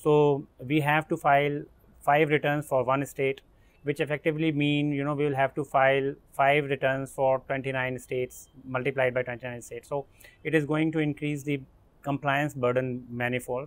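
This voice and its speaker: At a moderate pace, a man speaks in a monotone with flat intonation. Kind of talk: interview answer. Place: garden.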